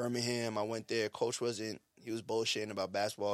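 Very fast, monotone, flat speech from a man with a New York accent and a fairly low pitch, on a very clean recording with a silent background. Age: 30s. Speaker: podcast co-host. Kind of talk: casual chat. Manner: fast talker.

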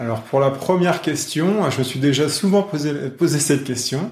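Somewhat breathy, a man with fairly high pitch talks at a moderate pace with ordinary pitch variation. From France, Lyon area. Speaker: national kayak coach. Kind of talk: interview. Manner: halting, many repetitions and fillers.

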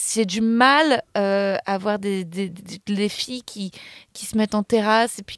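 On a very clean recording with a silent background and a dry, close sound with no echo, a woman speaks very slowly at a medium pitch, with fairly even intonation and big swings in loudness. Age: 30s. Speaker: comedian and actress. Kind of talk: casual chat.

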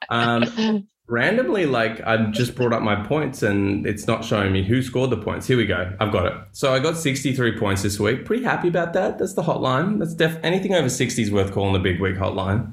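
Somewhat breathy male speech at medium pitch, fairly quick with hardly any pauses, lively intonation, very even loudness and audible room echo. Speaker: fantasy football podcast host. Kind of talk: casual chat. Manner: animated.

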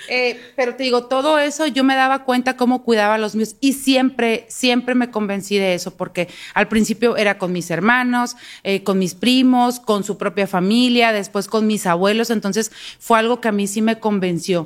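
A woman's fairly high voice with ordinary pitch variation, a plain, everyday voice at a moderate pace. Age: 40s. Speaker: university professor and podcast co-host. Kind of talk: casual chat.

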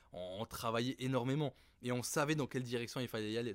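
In a very clean recording with a silent background, a man with a plain, everyday voice speaks at medium pitch and a fairly quick pace. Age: 30s. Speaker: startup founder and CEO. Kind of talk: interview.

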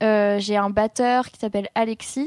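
In a very clean recording with a silent background and a dry, close sound without echo, a woman speaks at a fairly high pitch with monotone, flat intonation. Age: 20s. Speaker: singer and guitarist. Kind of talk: casual chat.

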